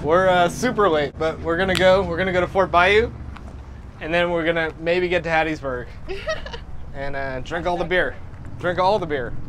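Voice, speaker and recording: Over noticeable background noise, a man with a high pitch and ordinary pitch variation talks at a moderate pace with long, frequent pauses. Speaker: travel vlogger. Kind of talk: casual vlog chat. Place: bar.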